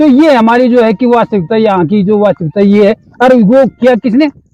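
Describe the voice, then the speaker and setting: The recording is close and dry, without any echo. A man's speech moves at a moderate pace. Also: very even loudness. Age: 80s+. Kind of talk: interview answer.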